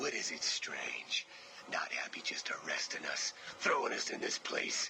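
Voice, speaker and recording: Whispering at a moderate pace, a man does a cartoonish character voice. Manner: gruff, menacing.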